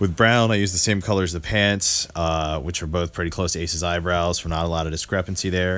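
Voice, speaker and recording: Very fast speech comes from a man with a very deep, low pitch. His intonation is fairly even. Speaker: custom toy maker. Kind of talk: tutorial narration. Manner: monotone.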